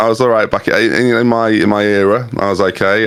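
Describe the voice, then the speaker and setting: Noticeable background noise surrounds the speaker. He is a man with a medium pitch. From England, Norfolk. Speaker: YouTube content creator. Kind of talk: casual interview chat.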